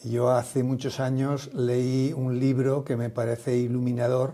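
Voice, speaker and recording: Monotone, flat intonation marks speech that moves very slowly. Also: man. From Spain, Aragon. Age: 70s. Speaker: social entrepreneur, retired company founder. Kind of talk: interview conversation.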